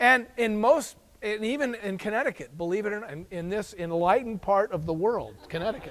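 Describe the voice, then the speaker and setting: A man with an American accent speaks at a fairly quick pace, using ordinary pitch variation. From US West. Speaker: professor of youth ministry. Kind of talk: lecture. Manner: animated. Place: classroom. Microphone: lapel.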